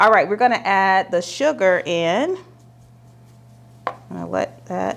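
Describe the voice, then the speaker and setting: The speaker has a relaxed tone and a slight Southern US accent. The pace is fairly slow, with long, frequent pauses. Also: woman. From US South, Alabama. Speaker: lifestyle vlogger. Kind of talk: casual vlog, baking tutorial. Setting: home kitchen. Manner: chatty, relaxed.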